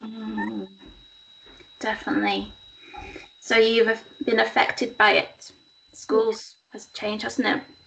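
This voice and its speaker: With noticeable background noise behind her, a woman speaks at a fairly slow pace with long, frequent pauses. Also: big swings in loudness. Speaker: interviewer. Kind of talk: casual interview. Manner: warm, encouraging.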